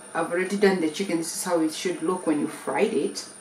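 A woman talks at a very fast pace. There is audible room echo and light background noise. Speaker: family vlogger. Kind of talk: casual vlog chat. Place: kitchen. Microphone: phone near.

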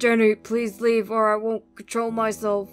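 A woman uses a put-on character voice, fairly high in pitch, at a moderate pace. Her intonation is monotone and flat, with faint music in the background. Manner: groaning, almost growling.

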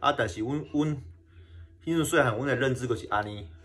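Man with a strong Kinmen accent, somewhat breathy, with lively intonation. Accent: strong Kinmen Hokkien. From Kinmen, Taiwan; Taiwan. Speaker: YouTuber exploring wartime sites. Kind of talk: casual vlog talk. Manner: halting, many fillers and repetitions. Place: home room. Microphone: phone near.

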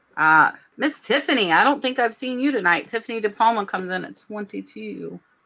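A woman's fairly high voice has a bright, sharp tone with vocal fry and lively intonation. Her loudness swings widely, and her pace is moderate. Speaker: nurse and reseller, co-host; online reseller hosting a live sale. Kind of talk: casual chat. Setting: live stream, online. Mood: cheerful, enthusiastic. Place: home room. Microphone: webcam.

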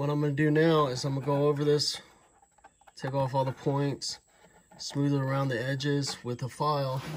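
Over light background noise, a man talks at a moderate pace in a flat, monotone delivery. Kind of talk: tutorial. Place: workshop. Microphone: phone near.

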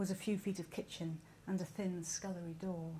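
A woman with a somewhat breathy voice and fairly even intonation speaks over light background noise. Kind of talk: reading aloud from a novel. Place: stage. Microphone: podium.

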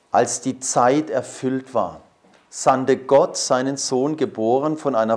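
Against a quiet background, a man speaks at a very slow pace with ordinary pitch variation. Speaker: priest giving a talk. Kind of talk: lecture. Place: hall.

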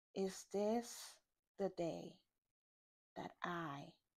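A woman speaks at a very slow pace. Her pitch is fairly low, and the background is quiet. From Nigeria. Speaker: poet. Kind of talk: poetry reading. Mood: calm, measured, poised. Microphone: lapel.

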